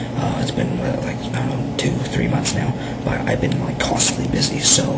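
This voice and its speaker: Loud background noise under a man speaking at a moderate pace. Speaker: vlogger. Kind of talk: casual talk to camera. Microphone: webcam.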